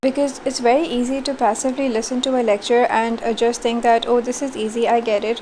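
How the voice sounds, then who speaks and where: A woman talks at a fairly quick pace in a fairly high voice. Her intonation is monotone and flat, with noticeable background noise. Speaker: university teacher. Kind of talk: recorded online lecture feedback. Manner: low energy.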